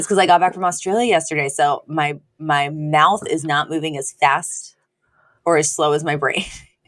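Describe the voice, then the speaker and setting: A woman's put-on character voice, raspy and very deep and low, with fairly even intonation at a moderate pace. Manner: slow, sluggish speech.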